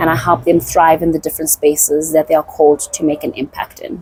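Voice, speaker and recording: Talking at a fairly quick pace, a woman has a fairly low pitch, and the sound is dry and close with no echo, though background noise is noticeable. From South Africa. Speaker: voice and communication coach, business founder. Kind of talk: casual interview. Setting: her studio.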